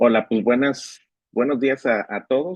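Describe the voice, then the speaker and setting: A man speaks at a medium pitch. He has a Mexican accent. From Mexico, Nuevo León. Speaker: economics professor. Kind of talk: lecture. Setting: online class. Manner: repetitive, stammering.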